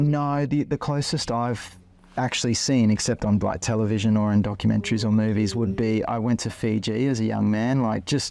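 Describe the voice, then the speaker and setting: Speaking fairly quickly with an Australian accent, a man has a dark, mellow tone, medium pitch and fairly even intonation. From Australia, Queensland (Ipswich near Brisbane). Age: 40s. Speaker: interviewee, husband in couple. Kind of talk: interview, casual conversation. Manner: hesitant with fillers (um, like).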